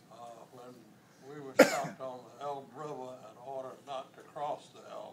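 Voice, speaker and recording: Over noticeable background noise, a man with an American accent talks in a fairly even intonation. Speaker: war veteran. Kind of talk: interview answer.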